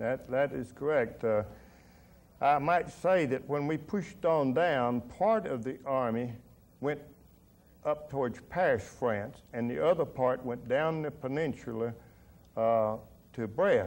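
A man with a Tennessee accent, lively intonation and a fairly slow pace, with long, frequent pauses. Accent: US Southern (Tennessee). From Middle Tennessee. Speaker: war veteran and businessman. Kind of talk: oral history interview. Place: studio.

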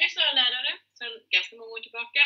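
A woman speaks with a slightly husky edge.

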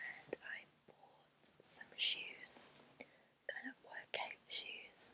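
Whispering at a very slow pace, a woman speaks. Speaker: vlogger. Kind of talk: casual haul vlog chat. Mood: warm, enthusiastic. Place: home room. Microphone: earbuds.

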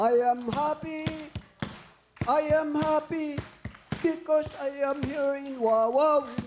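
Over noticeable background noise, a man with an extremely high pitch speaks very slowly with long, frequent pauses and fairly even intonation. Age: old. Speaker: retired teacher, contestant's father. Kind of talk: tv show appearance.

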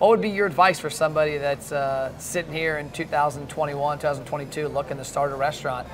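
A man speaks at a moderate pace with fairly high pitch and fairly even intonation. Noticeable background noise runs underneath. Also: hardly any pauses. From Northern Kentucky; Kentucky. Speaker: podcast host, restaurant marketer; podcast host. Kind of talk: interview. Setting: wing festival. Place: hall. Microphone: lapel.

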